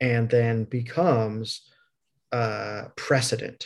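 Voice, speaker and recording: Somewhat breathy, a man with a medium pitch talks with an American accent. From US Midwest. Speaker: podcast host. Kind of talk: casual interview chat.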